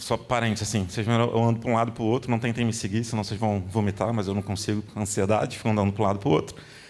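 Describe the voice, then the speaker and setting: A man's medium-pitched voice holds a monotone, flat intonation throughout. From Rio de Janeiro, Brazil. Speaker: design executive, conference speaker. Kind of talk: conference talk. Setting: stage with audience. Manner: fast; casual, filler-heavy.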